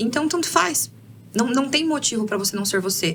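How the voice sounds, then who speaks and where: A woman speaks with lively intonation, keeping a moderate pace. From Brazil, interior of Paraná. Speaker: career mentor. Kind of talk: podcast interview. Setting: studio.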